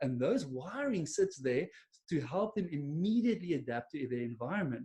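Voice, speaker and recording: Pitched fairly high, a man with an Afrikaans accent and a dark, mellow tone speaks at a moderate pace with very wide pitch swings. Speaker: business coach. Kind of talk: webinar presentation. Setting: online webinar. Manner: casual, with many fillers.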